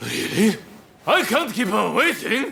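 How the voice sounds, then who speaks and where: A man puts on a character voice with a high pitch. He speaks at a fairly slow pace with lively intonation. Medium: video game. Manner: loud, boastful.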